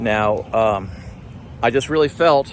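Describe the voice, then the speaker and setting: Over noticeable background noise, a man talks at a fairly slow pace in a fairly low pitch. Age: 60s. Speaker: life group leader. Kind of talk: spiritual talk. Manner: halting with fillers.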